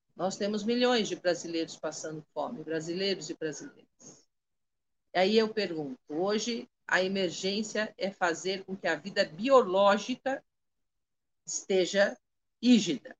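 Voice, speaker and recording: Her pitch sits at a medium level. The woman talks at a fairly slow pace. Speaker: Candomblé priestess. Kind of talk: spiritual talk on a live stream. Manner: articulate, clear oratory.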